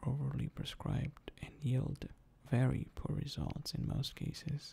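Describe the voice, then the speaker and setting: Whispering at a fairly slow pace. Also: man. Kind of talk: ASMR talk to camera about personal experience. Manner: soft-spoken.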